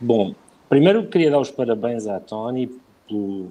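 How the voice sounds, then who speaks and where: With a dark, mellow tone, a man talks at a fairly quick pace. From Portugal. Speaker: bank executive. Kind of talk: live interview. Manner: halting.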